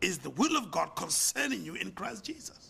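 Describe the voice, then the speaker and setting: The man's voice is pitched high. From South Africa. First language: not English. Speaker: pastor and business leader. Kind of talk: sermon; lecture.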